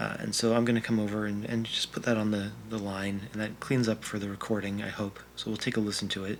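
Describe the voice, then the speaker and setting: A man rattles along very fast with hardly any pauses, his fairly low voice monotone and flat. Noticeable background noise is heard throughout. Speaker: audio engineer making a test video. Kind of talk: tutorial. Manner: filler-heavy (frequent 'uh').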